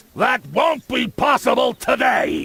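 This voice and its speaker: A man shouting at an extremely high pitch in a put-on character voice, at a fairly slow pace. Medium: video game. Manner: shouting, abrupt.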